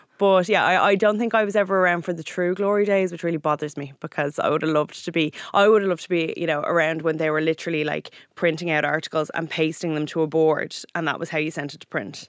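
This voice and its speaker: The speaker talks at a very fast pace. It comes with an Irish accent. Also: woman, fairly low pitch for a woman. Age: 30s. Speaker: magazine editor. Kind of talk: casual chat. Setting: studio.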